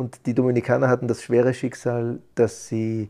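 At a moderate pace, the voice has a dark, mellow tone and monotone, flat intonation against a quiet background. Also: man. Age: 40s. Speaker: psychologist. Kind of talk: interview. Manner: halting.

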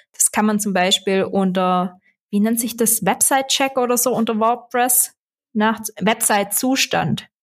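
On a very clean recording with a silent background, a woman with a Swabian accent talks fairly slowly at a fairly high pitch, her loudness very even and her intonation fairly even. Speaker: SEO consultant and podcast host. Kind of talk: casual interview.

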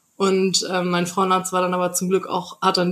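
Medium pitch in a female voice, on a very clean recording against a silent background. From North Rhine-Westphalia, Germany. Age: 20s. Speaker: podcast guest sharing personal experience. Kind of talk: interview, personal testimony. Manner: hesitant with many fillers.

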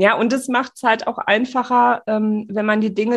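A woman at a moderate pace, fairly high in pitch, with monotone, flat intonation. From Sauerland / Ruhr area, Germany. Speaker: architect and podcast host. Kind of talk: casual interview chat.

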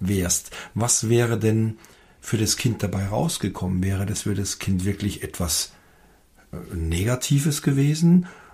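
With long, frequent pauses, a man speaks at a fairly slow pace in a fairly low, somewhat breathy voice with lively intonation. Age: 50s. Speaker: father, host's husband. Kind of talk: casual chat. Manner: halting, with many fillers.

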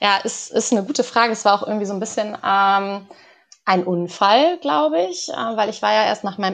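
At a moderate pace, a woman speaks in a plain, everyday voice, her pitch medium with ordinary pitch variation. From northern Germany, Lower Saxony village. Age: 20s. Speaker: organisational psychologist. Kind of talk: podcast interview.

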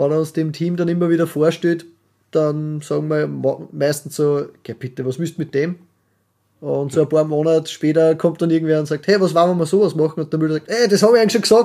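Fairly high-pitched for a man, his dark, mellow voice moves at a fairly quick pace with fairly even intonation. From Austria. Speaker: podcast co-host, carpenter. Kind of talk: casual chat.

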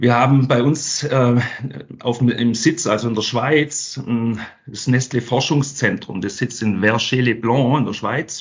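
At a very slow pace, a man talks in a somewhat breathy voice with a medium pitch and fairly even intonation. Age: 50s. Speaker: sales training manager. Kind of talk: interview.

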